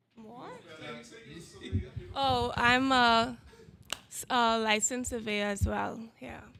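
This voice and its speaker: A woman's fairly high, bright and sharp voice at a very slow pace, with fairly even intonation and audible room echo. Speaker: licensed surveyor. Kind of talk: audience question at a conference.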